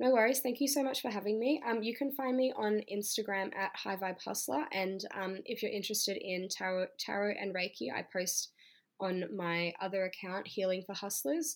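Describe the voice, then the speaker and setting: In an Australian accent, a woman talks at a moderate pace and a medium pitch with lively intonation. She leaves hardly any pauses. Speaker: stripper and YouTuber. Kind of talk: interview.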